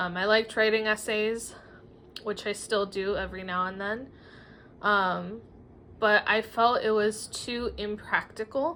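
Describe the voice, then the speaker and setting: Long, frequent pauses break up a woman's fairly slow speech. Her pitch is fairly high and her tone bright and sharp. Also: fairly even intonation. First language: Spanish. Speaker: writer and former teacher. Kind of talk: casual vlog monologue. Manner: hesitant, many fillers.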